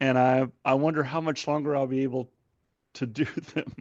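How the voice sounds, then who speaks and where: Monotone, flat intonation at a moderate pace. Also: man. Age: 60s. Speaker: podcast co-host at a church. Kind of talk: casual chat.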